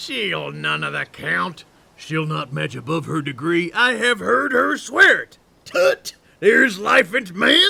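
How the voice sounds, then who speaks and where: Someone uses a cartoonish character voice at a fairly slow pace. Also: man. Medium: puppet show. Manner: boisterous, loud.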